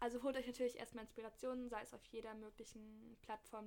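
Against noticeable background noise, a woman talks very fast at a fairly high pitch in a monotone, flat delivery. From Berlin. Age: 20s. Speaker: fashion student and blogger. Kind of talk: casual chat.

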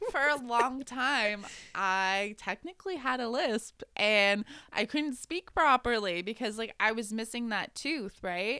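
The voice has a bright, sharp tone and lively intonation. Its pace is fairly slow. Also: woman, fairly high pitch for a woman, very clean recording, silent background. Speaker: podcast host. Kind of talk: casual chat, storytelling.

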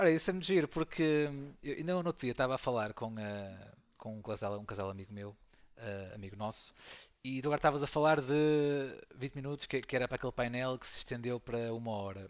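Very fast speech from a man at a medium pitch, with lively intonation and big swings in loudness. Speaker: board game designer and teacher. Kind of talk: casual interview.

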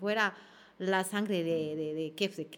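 Ordinary pitch variation and a moderate pace mark this woman's speech. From Ecuador. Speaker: actress and comedian. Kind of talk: casual interview chat. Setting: studio.

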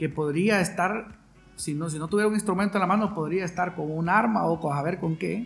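A man's high-pitched voice rises and falls with ordinary pitch variation. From Honduras, San Pedro Sula. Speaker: violinist and composer. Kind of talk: interview. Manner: halting, with frequent repetitions.

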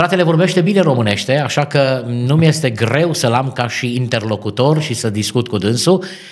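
Medium-pitched male voice with lively intonation, at a moderate pace with hardly any pauses, over noticeable background noise. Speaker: radio host and pastor. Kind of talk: interview. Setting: studio. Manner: formal.

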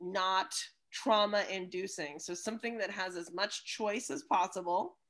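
Ordinary pitch variation marks an unremarkable speaking voice moving at a fairly slow pace on a very clean recording with a silent background. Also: woman. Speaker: podcast host and music educator. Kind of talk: casual conversation.

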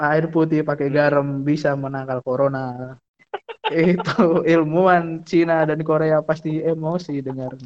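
Speaking at a fairly slow pace, a man keeps fairly even intonation at a fairly high pitch. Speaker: podcast co-host. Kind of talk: casual chat.

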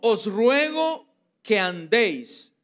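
A man speaks at a high pitch in an animated tone. The recording is very clean, with a silent background. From Costa Rica. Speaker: pastor. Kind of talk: sermon. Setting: church.

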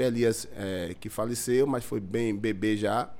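In a room with audible echo, a man talks at a very slow pace with ordinary pitch variation. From Bahia, Brazil (Lauro de Freitas). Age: 50s. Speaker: community leader. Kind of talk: casual chat.

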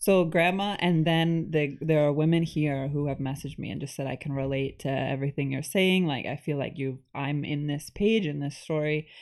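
A woman with a New York State accent speaks at a moderate pace with hardly any pauses. Her pitch is very deep and low, with ordinary variation. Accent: American (New York State). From New York State, US. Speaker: author. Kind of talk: casual chat.

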